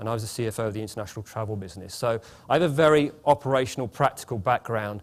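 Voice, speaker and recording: A man with a British accent at a very fast pace, medium pitch and ordinary pitch variation, on a very clean recording with a silent background. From England. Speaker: management consultant, former CFO. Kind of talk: conference opening speech. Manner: halting, many repetitions and fillers; informal, chatty.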